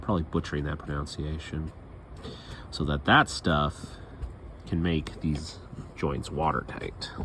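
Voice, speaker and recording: The speech is mumbled, fairly slow and fairly even in intonation, with long, frequent pauses. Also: man, very deep, low pitch for a man. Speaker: boat restoration vlogger. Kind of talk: casual DIY vlog narration. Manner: mumbling to himself; casual, rambling.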